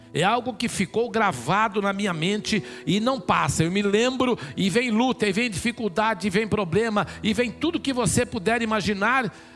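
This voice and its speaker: A man with a high voice speaks with hardly any pauses and very even loudness, with music playing in the background. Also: ordinary pitch variation, moderate pace. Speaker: pastor. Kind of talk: sermon.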